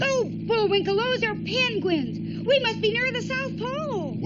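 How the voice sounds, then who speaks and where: The speaker uses a cartoonish character voice. Its pace is moderate. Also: female-sounding voice. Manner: chirpy, earnest.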